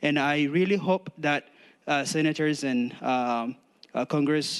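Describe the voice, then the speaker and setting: A man with a non-native accent and a fairly high pitch, at a moderate pace, in a dry, close sound with no echo. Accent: foreign. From outside the US, immigrant. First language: not English. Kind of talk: public testimony. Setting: public forum with audience. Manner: halting, many fillers.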